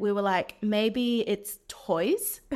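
On a very clean recording with a silent background, a woman with a New Zealand accent speaks very slowly in a medium pitch with monotone, flat intonation. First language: Chinese. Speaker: venture investor. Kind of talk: interview.

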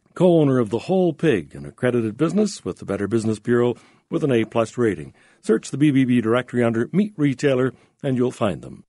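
A man's medium-pitched, dark, mellow voice with a Canadian accent, very fast pace and very wide pitch swings, in a dry, close sound with no echo. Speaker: radio host. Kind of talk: radio interview. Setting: studio.

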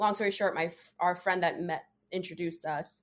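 A plain, everyday voice from a woman with an American accent, fairly low in pitch, at a moderate pace with fairly even intonation. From New Jersey. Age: 20s. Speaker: podcast guest sharing dating story. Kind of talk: personal storytelling in casual interview.

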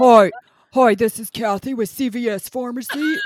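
A put-on character voice delivers its lines at a fairly slow pace with a fairly high pitch. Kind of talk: fake customer service voice.

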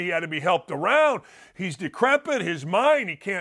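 Fairly quick and animated, a man with an American accent has a bright, sharp tone and very wide pitch swings. The sound is dry and close with no echo, on a very clean recording with a silent background. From Gary, Indiana. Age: 60s. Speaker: sports talk host and former basketball coach. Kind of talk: casual chat.

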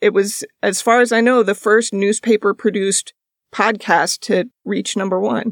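In a dry, close recording with no echo, a woman with an unremarkable speaking voice talks at medium pitch and a moderate pace with fairly even intonation. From moved around US, mostly Iowa and Georgia. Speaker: journalist and podcast host. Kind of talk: casual interview chat. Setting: video call.

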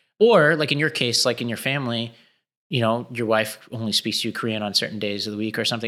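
Recorded very cleanly against a silent background, a man speaks with an American accent at a fairly quick pace. His medium-pitched voice has a bright, sharp tone. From New York City, Staten Island. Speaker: education nonprofit executive and podcast co-host. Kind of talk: casual interview conversation. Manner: casual, filler-heavy.

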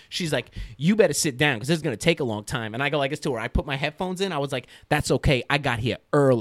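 The speech comes very fast with an American accent and ordinary pitch variation. The sound is dry and close, with no echo. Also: man, fairly high pitch for a man. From New York City. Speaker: skateboarding filmmaker and photographer. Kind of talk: casual chat. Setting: studio. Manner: animated.

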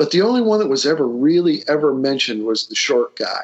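With a Northern Ohio accent, a man speaks at a fairly quick pace. His pitch varies in an ordinary way. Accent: Midwestern American (Northern Ohio). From Lorain, Ohio. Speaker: retired IT executive, local history enthusiast. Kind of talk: interview conversation. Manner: halting, many fillers.

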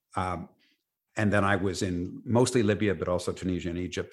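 With a Canadian accent, a man speaks at a fairly quick pace in a very deep voice, his intonation fairly even. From Canada (Toronto). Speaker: former war correspondent, tech startup founder. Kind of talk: interview. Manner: halting, repeats words.

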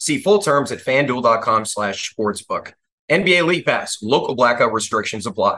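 This man has a plain, everyday voice with a fairly high pitch and lively intonation. He keeps a moderate pace. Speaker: ad reader and basketball analyst host. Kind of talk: ad read and game recap.

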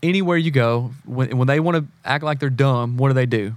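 Speaking at a moderate pace with an American accent, a man uses a medium-pitched voice with ordinary pitch variation. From South Carolina, US South. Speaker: marriage and family therapist, former drummer. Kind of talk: casual interview chat.

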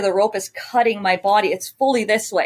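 Fairly even intonation and a moderate pace come in a dry, close sound with no echo. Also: woman. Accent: American. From Ontario, Canada (Sarnia). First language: French. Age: 30s. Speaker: CrossFit athlete. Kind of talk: interview. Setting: video call.

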